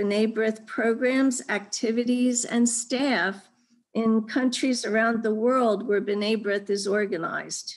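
A woman speaks with fairly even intonation. The background is quiet. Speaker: event moderator. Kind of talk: formal introduction. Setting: video call. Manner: formal. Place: home room. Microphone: video call.

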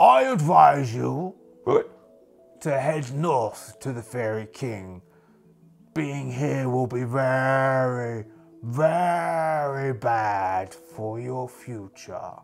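Over faint background music, a man at a medium pitch does a put-on character voice at a very slow pace. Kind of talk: solo RPG character voice. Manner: proud, easily distracted.

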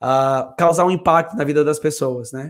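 Spoken at a moderate pace with ordinary pitch variation, the voice sits over a quiet background. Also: man. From Brazil. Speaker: English teacher. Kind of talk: live stream English lesson. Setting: home studio. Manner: animated. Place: home room. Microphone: professional microphone; studio mic.

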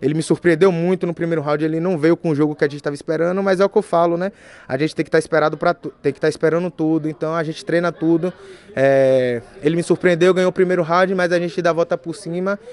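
This man talks very fast in a high voice with fairly even intonation. The sound is dry, with no echo. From Bahia, Brazil (Feira de Santana); Bahia, Brazil. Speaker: MMA fighter. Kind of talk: post-fight interview. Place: meeting room. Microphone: podium.

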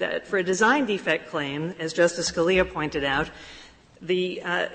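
A woman's fairly low-pitched voice at a moderate pace, with ordinary pitch variation. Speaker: lawyer arguing before the court; attorney arguing a case. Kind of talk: oral argument. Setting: courtroom. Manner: formal. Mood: formal, persuasive. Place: hall.

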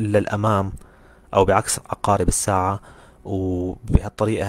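A man speaks at a moderate pace in a fairly low voice with fairly even intonation, recorded dry and close with no echo. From Syria. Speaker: orthodontist and university lecturer. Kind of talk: lecture. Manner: halting. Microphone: audio quality issues reported by some listeners.

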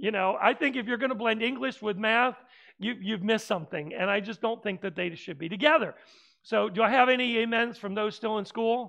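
Bright and sharp in tone, a man's raised, projected voice carries lively intonation. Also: quiet background. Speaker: preacher. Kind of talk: sermon. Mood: humorous, light-hearted. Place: church. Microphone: headset.

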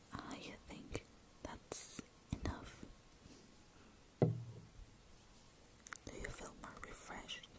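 With long, frequent pauses, the whispering unfolds at a very slow pace. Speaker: ASMR artist. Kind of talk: ASMR personal attention role play. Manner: soft-spoken.

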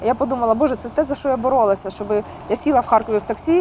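The woman's voice is high-pitched with ordinary pitch variation. She talks at a very fast pace. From Kharkiv, Ukraine. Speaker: singer. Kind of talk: interview answer.

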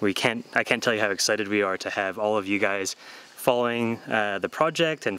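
This man's voice is fairly low in pitch, with a bright, sharp tone. He talks at a very fast pace with ordinary pitch variation. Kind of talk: interview answer. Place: forest.

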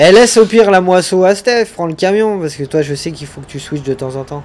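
A man's high-pitched voice with lively intonation at a fairly quick pace, over light background noise. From France. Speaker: gaming streamer. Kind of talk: live gameplay stream chat. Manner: animated.

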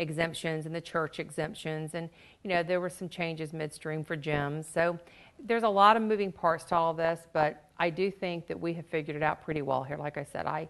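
A woman speaks at a fairly quick pace in a plain, everyday voice. Her pitch is fairly low and her intonation fairly even. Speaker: guest. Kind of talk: interview answer. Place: studio.

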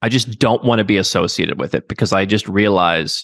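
A man with a fairly low pitch and a Midwestern American accent talks at a very fast pace, with a dry sound and no echo. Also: quiet background. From US Midwest. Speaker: expatriation and second-passport consultant. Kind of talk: interview. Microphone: studio mic.

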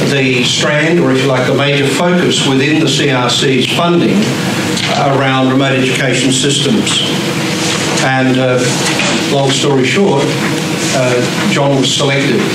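A man talks at a fairly slow pace with long, frequent pauses, amid loud background noise and audible room echo. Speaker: introducer at a lecture. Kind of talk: speech introducing a guest lecturer. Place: classroom. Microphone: camera far.

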